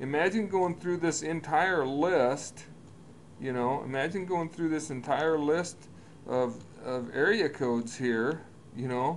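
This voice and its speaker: Fairly slow, fairly high-pitched male speech, ordinary pitch variation, and room echo that is audible. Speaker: business coach. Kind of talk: tutorial.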